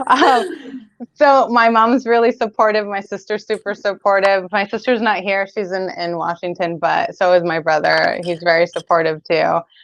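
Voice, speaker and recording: A woman with a Spanish accent talks at a moderate pace, her medium pitch showing ordinary variation. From Latin American heritage. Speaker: keto bakery owner. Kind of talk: casual interview.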